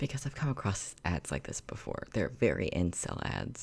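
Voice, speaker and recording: A man whispers at a moderate pace in a very clean recording with a silent background. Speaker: YouTuber reacting to videos. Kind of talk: casual reaction commentary. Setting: home recording, empty room. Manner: quiet, talking softly; halting, many fillers. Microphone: echo in the room.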